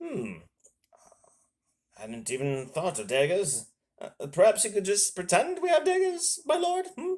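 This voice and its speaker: A man puts on a character voice, pitched high. He leaves long pauses, and often. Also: moderate pace, big swings in loudness. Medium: solo performance.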